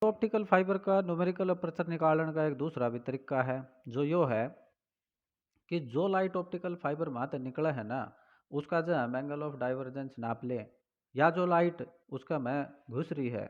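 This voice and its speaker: The speaker has a Haryana accent and a moderate pace. Pitch varies in an ordinary way against a quiet background. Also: man, fairly high pitch for a man. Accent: Haryanvi. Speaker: teacher. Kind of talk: physics lecture.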